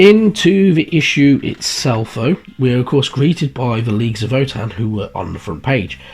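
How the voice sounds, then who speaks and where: A man at medium pitch with very wide pitch swings, a moderate pace and noticeable background noise. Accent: British. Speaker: hobby painting youtuber. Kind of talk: casual hobby video talk. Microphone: poor audio equipment.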